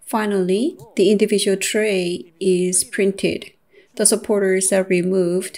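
A woman speaks at a fairly slow pace in a monotone, flat intonation. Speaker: presenter. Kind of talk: lecture. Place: studio. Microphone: lapel.

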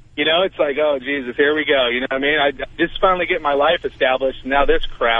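A man talks fast in a fairly high pitch. The sound is dry and close, with no echo. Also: ordinary pitch variation.

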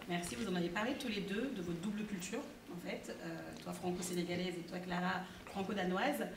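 Noticeable background noise under a fairly quick pace. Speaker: podcast host. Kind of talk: live interview moderation. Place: hall.

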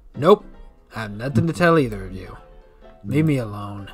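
A man does a gruff, put-on character voice in a western US accent, at a medium pitch. He keeps a moderate pace while faint music plays in the background. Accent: western cowboy. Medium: game stream. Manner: gruff, agitated.

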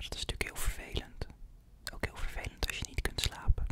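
A man whispers at a moderate pace. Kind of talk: role-play consultation, calm soft talk. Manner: soft, close-mic ASMR doctor voice. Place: home room. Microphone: studio mic.

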